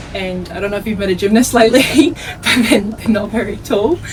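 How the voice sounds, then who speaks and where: Amid noticeable background noise and audible room echo, a woman talks with ordinary pitch variation. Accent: Australian. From Australia. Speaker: netball player. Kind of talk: interview.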